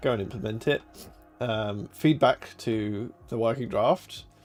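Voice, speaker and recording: Here a man is speaking. Music plays in the background. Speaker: software developer live streamer. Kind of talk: live coding stream. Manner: halting, many fillers.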